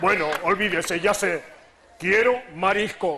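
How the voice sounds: Using a put-on character voice, a man speaks at a high pitch with a bright, sharp tone and ordinary pitch variation. His pace is fairly slow, with faint crowd noise in the background.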